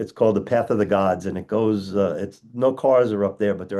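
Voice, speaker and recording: A man talks with an American accent in a dark, mellow tone. The background is quiet. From US Northeast (Long Island, New York). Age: 60s. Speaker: dentist and educator. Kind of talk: interview conversation. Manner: halting, repetitive starts.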